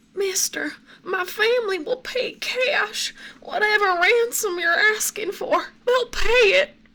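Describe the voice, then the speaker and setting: Someone does a put-on character voice with a Southern accent, extremely high in pitch and at a fairly slow pace. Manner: pleading, scared.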